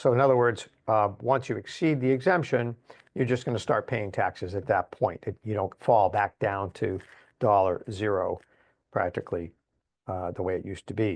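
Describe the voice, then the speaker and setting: This man speaks at a fairly low pitch with ordinary pitch variation. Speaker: estate planning lawyer. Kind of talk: webinar presentation. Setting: online webinar. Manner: fast; hesitant with fillers.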